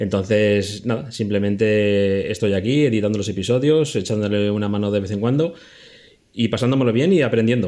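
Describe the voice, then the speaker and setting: A man talks in a dark, mellow tone at a fairly low pitch with ordinary pitch variation. His pace is moderate, broken by long, frequent pauses. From Spain, Zaragoza (Aragon). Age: 40s. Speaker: podcast producer and editor. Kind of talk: casual chat.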